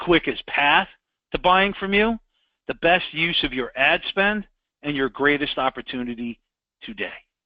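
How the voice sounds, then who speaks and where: Using very wide pitch swings and an animated tone, a man talks in a New York accent. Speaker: sales trainer. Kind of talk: sales training with role-play pitch. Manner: direct, animated.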